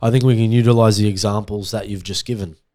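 On a very clean recording with a silent background, a dark, mellow tone carries an Australian accent with fairly even intonation. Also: man. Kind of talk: casual chat.

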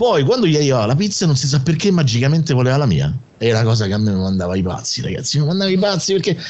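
A man's fairly high pitch with very wide pitch swings, a very fast pace and very even loudness, amid noticeable background noise. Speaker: radio host. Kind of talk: casual chat.

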